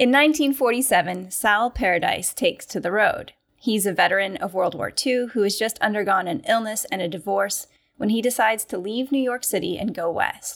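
At a moderate pace, a woman speaks with a fairly high pitch and lively intonation in an unremarkable speaking voice. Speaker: literary scholar, podcast co-host. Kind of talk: casual discussion.

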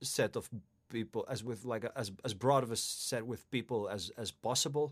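A man with a Finnish accent at a moderate pace, on a very clean recording with a silent background. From Finland. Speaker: ritual musician and throat singer. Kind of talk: casual interview. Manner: halting, many repetitions.

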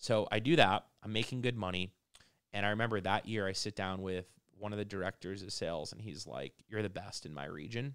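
In a plain, everyday voice, a man with an American accent speaks at a fairly quick pace and fairly low pitch, with ordinary pitch variation. The recording is very clean, with a silent background. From Massachusetts, near Boston. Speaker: entrepreneur. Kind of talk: casual chat.

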